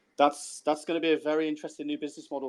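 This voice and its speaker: A man talks at a very fast pace. He has a Brummie accent. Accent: Brummie (Birmingham English). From Birmingham, England. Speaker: crypto podcast co-host. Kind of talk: casual chat. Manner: halting, repeats words.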